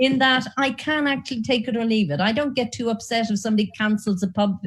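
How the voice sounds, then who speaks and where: A woman talks at a very fast pace in an Irish accent. Her pitch is fairly high, with ordinary pitch variation and very even loudness. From Ireland. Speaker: nursing professor. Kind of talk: panel discussion. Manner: animated.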